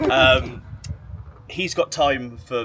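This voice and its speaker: This voice belongs to a man. His speech is in an English accent. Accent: English accent, self-described as horrible. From England. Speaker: football YouTuber. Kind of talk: interview. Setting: outdoors by the pitch in a stadium. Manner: hesitant, repeating words.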